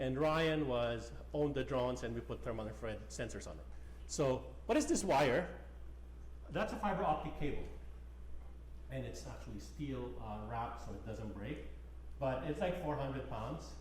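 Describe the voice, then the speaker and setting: This man talks at a moderate pace, with long pauses that come often. Noticeable background noise and audible room echo are in the recording. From Philippines. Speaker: geoscience professor. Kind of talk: lecture.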